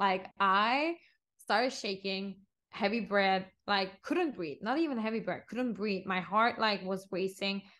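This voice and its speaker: Fairly slow, bright and sharp-toned woman's voice at medium pitch, with a Turkish accent, ordinary pitch variation and a quiet background. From Turkey, Istanbul. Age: 20s. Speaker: interior designer. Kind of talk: casual chat.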